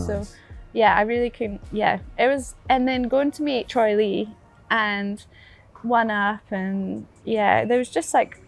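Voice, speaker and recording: Speaking at a very slow pace with a Scottish accent, a woman uses a fairly high pitch and fairly even intonation while music plays in the background. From Fort William, Scotland. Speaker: downhill mountain bike racer. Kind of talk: interview answer. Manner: casual, cheerful.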